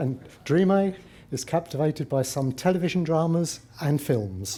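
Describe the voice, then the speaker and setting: Lively in intonation, a man speaks at a fairly high pitch and a moderate pace. His voice is somewhat breathy. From Britain, working-class family. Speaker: Buddhist practitioner speaking at interfaith conference. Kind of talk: conference talk.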